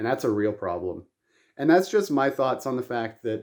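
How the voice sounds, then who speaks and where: In a Canadian accent, a man speaks at a fairly quick pace with a dark, mellow tone and ordinary pitch variation. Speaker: YouTuber. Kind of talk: vlog rant. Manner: fast; rambling with filler ums.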